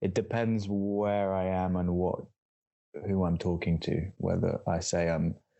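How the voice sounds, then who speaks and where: Fairly slow, fairly even delivery in a London accent. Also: man. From Southeast London, England. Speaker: musician and visual artist. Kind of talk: interview. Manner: halting, many fillers and repeats.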